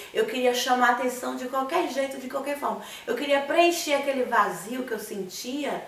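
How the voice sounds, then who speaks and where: A voice with a Bahian accent comes through audible room echo and noticeable background noise. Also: woman. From Bahia, Brazil (Conceição do Coité). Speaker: missionary. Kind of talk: testimony. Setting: studio.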